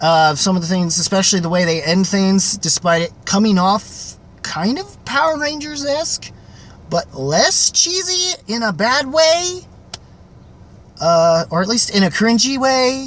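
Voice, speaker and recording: A man with a high voice speaks fairly slowly, his pitch swinging very widely, against noticeable background noise. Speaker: movie reviewer. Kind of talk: casual video review. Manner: halting, many pauses; off the cuff, filler-heavy.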